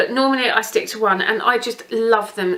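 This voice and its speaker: A woman's fairly high voice in an English accent, ordinary pitch variation, and noticeable background noise behind her. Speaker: beauty vlogger. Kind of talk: casual product review. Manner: fast.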